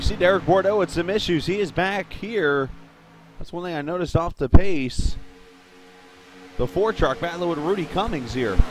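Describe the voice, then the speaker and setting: High-pitched male voice at a moderate pace, with long, frequent pauses and music in the background. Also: ordinary pitch variation. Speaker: sim racing commentator. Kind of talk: live commentary. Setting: live stream broadcast booth. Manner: loud.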